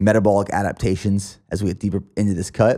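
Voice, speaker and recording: A man with a Pennsylvania accent speaks at a moderate pace and a fairly low pitch, in a dark, mellow tone. The recording is very clean, with a silent background. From Pennsylvania, US. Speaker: podcast host and fitness athlete. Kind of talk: podcast interview conversation.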